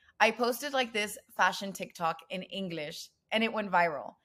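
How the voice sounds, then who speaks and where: With an American accent and a bright, sharp tone, a woman talks at a fairly slow pace with ordinary pitch variation. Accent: Mexican American English. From Mexico-US border, Nuevo Laredo, Tamaulipas. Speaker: bilingual content creator. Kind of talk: casual interview chat.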